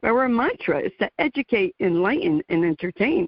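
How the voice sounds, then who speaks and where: Speaking at a moderate pace with an American accent, a woman uses very wide pitch swings. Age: 60s. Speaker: radio talk show host. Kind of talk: interview. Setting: radio show.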